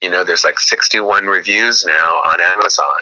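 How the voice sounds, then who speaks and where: A man speaks with a General American accent. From Los Angeles. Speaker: actor and comedian. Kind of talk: interview.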